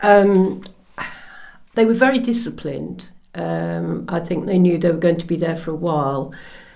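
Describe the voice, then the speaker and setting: A woman at a moderate pace, with audible room echo. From Norfolk, England. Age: 70s. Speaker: interviewee, daughter of Polish soldier. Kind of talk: oral history interview. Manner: hesitant.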